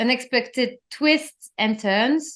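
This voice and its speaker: This voice comes with a non-native accent. Every word is delivered at a very slow pace. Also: woman. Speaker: interior designer and podcast host. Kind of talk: solo podcast monologue. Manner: animated.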